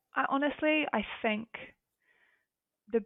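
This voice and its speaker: A woman speaks with a New Zealand accent and ordinary pitch variation. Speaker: recruitment consultant. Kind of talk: podcast interview. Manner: hesitant, with many fillers.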